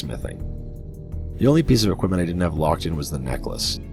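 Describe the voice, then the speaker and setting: A man is speaking. Music plays in the background. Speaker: gaming video narrator. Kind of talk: game guide voiceover.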